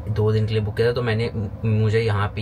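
Noticeable background noise accompanies a man speaking in a fairly low voice. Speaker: travel vlogger. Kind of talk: casual vlog chat. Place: home room. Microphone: phone near.

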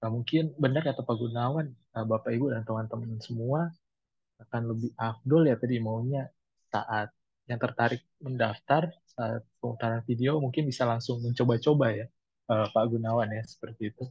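Somewhat breathy, a man speaks at a moderate pace with fairly even intonation in a dry sound with no echo. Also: quiet background. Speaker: moderator. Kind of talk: webinar moderation. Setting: video call. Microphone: video call.

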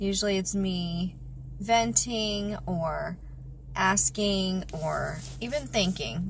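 Light background noise under a woman's dry, echo-free voice. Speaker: vlogger. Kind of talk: casual vlog chat. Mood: reflective, personal. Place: car. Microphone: phone near.

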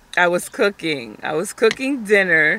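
Over noticeable background noise, a woman speaks at a very slow pace. Her intonation is lively and the sound is dry with no echo. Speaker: vlogger, stay-at-home mom; stay-at-home mom vlogger. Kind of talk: casual vlog chat. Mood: annoyed, venting about kids. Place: car. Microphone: phone near.

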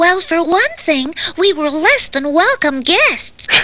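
A cartoonish character voice at an extremely high pitch moves along at a fairly slow pace. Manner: wry, teasing.

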